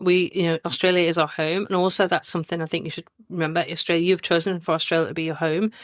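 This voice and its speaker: Speaking very fast with hardly any pauses, a woman keeps a fairly low pitch and a monotone, flat intonation. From northeast England (Newcastle area). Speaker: podcast host and travel planner, guest. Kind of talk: casual interview chat.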